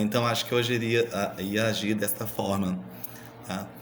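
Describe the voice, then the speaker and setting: With a strong Minas Gerais accent, a man speaks with ordinary pitch variation amid audible room echo. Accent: strong Minas Gerais (mineiro). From Brazil, Minas Gerais. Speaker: university student. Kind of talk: recorded class presentation. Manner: halting, many repetitions and fillers.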